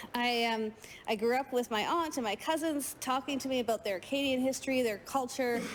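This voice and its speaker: With a Canadian accent, a woman talks at a fairly quick pace in a high pitch against noticeable background noise. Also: ordinary pitch variation, very even loudness. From Canada, French Canadian. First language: French. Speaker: provincial legislator. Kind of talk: legislative speech.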